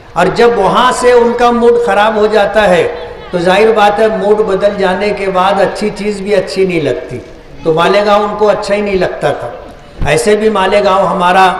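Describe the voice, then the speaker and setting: With audible room echo and noticeable background noise, a man speaks at a high pitch with fairly even intonation. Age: 60s. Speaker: politician. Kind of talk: public speech.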